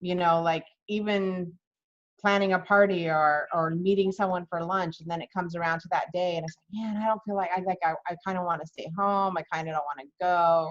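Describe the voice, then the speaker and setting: A woman with an ordinary speaking voice, fairly low in pitch, moves at a fairly quick pace with fairly even intonation and big swings in loudness. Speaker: interview host. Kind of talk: interview.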